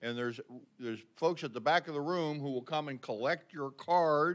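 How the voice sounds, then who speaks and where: A man with an American accent speaks at a moderate pace with ordinary pitch variation. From West Virginia. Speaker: panel moderator. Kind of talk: conference introductions. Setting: stage with audience. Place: hall. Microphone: podium.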